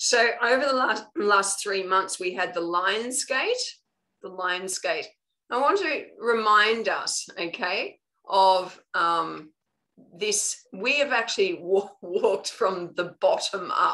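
A woman speaks with an Australian accent. Her pace is very slow. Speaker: spiritual coach. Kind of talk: live online training talk. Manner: casual, conversational.

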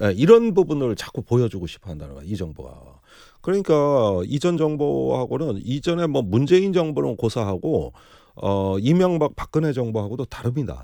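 Over a very clean, silent background, a man with a medium-pitched, dark and mellow voice makes big swings in loudness and very wide swings in pitch. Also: moderate pace. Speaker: political commentator, former lawmaker. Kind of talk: political commentary talk. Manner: animated.

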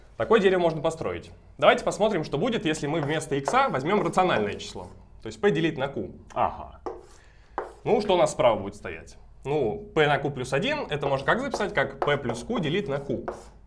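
Amid noticeable background noise, a man with fairly high pitch makes very wide pitch swings and leaves long, frequent pauses. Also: fairly quick pace. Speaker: mathematics graduate student. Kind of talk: math lecture explanation. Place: classroom. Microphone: camera far.

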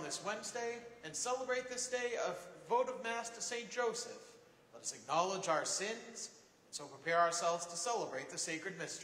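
Lively intonation runs through this man's high-pitched voice at a fairly quick pace. There is audible room echo. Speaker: priest leading mass. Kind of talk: liturgical prayer. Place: church. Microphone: camera far.

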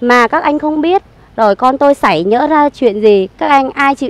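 A high-pitched woman's voice with very wide pitch swings, a moderate pace, and a dry sound with no echo. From Saigon, Vietnam. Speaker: evicted resident. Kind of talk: testimony. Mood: aggrieved, earnest recounting. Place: garden. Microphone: handheld.

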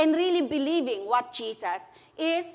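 At a fairly slow pace, a woman speaks with lively intonation. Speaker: preacher. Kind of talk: sermon. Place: church. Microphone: lapel.

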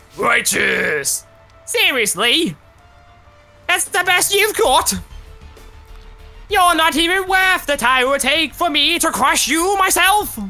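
In a put-on character voice, the speaker goes at a fairly slow pace with long, frequent pauses while faint music plays in the background. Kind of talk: comic overacting. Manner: pompous, blustering.

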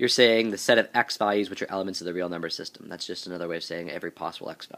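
In a very clean recording with a silent background, a man talks with a fairly low pitch and ordinary pitch variation. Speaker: math teacher. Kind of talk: math tutorial narration. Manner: casual, hesitant with fillers.

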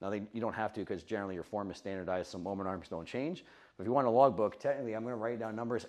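Against a quiet background, a man with a fairly low voice talks at a very fast pace with ordinary pitch variation. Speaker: fitness coach. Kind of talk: lecture. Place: meeting room.

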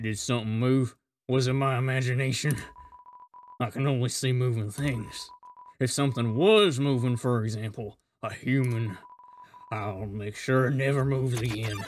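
A man puts on a character voice at a medium pitch, leaving long, frequent pauses. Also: moderate pace. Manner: paranoid, then excited.

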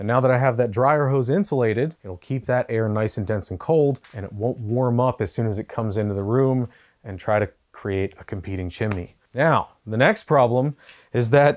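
A man's pitch varies in an ordinary way as he talks at a moderate speed. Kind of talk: tutorial. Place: garage. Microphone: lapel.

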